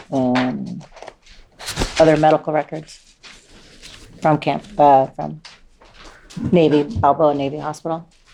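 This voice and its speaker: Through noticeable background noise, a woman with an American accent and a very deep, low pitch speaks at a fairly slow pace with fairly even intonation and long, frequent pauses. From Southern California, Orange County. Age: 60s. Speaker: trial witness. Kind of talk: courtroom testimony. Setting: courtroom.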